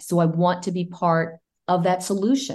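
A woman's dark, mellow voice, fairly low in pitch, at a moderate pace with fairly even intonation, over a quiet background. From US-born to Cuban immigrant parents. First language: Spanish. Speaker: former TV journalist, congressional candidate. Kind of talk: interview.

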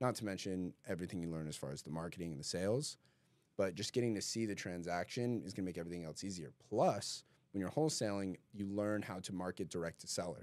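On a very clean recording with a silent background, a man with an American accent speaks very fast in a very deep, low pitch with ordinary pitch variation. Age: 20s. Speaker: podcast host. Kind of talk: casual chat. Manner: animated.

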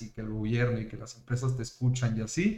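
With a Mexican accent, a man talks at a fairly quick pace in a somewhat breathy voice. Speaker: podcast host. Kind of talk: casual chat. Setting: live stream. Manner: animated.

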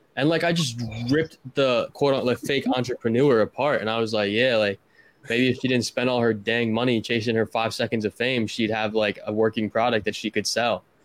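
In a plain, everyday voice, a man of medium pitch speaks at a fairly quick pace with fairly even intonation and very even loudness, in a dry, close sound with no echo. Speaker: co-host.

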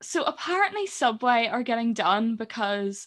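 A woman speaks at a moderate pace and a fairly high pitch, in a Northern Irish accent. The background is quiet. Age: 20s. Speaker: podcast co-host. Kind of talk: casual chat. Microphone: new gaming mic.

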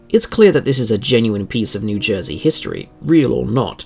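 With music in the background, the speaker uses a theatrical tone and very wide pitch swings. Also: man. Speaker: podcast host. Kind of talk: scripted horror-tinged true-crime narration. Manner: dramatic, eerie, measured storytelling; formal, theatrical, ominous tone.

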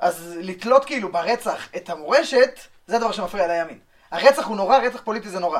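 The delivery moves at a fairly quick pace, with lively intonation and big swings in loudness. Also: man, high pitch for a man. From Israel, West Bank settlement. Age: 20s. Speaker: law student, settler. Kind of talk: podcast interview.

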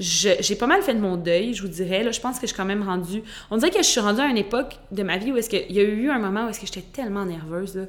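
Very fast speech comes from a woman at a medium pitch. Her pitch varies in an ordinary way. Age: 20s. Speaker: podcast host. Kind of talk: casual monologue. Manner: frequent stumbles and repetitions.

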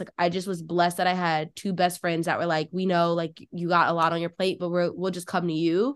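Over a quiet background, someone talks at a fairly quick pace in an ordinary speaking voice. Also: woman. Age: 20s. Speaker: law student podcast host. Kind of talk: casual chat.

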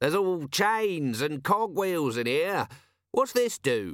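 In a very clean recording with a silent background, a man puts on a character voice, slow and fairly bright, with fairly high pitch and big pitch swings.

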